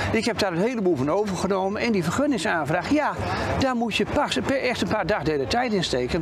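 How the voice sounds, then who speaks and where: Crowd noise fills the background as a man talks at a fairly quick pace. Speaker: festival organizer. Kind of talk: interview. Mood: calm, pleased. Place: waterside. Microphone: lapel.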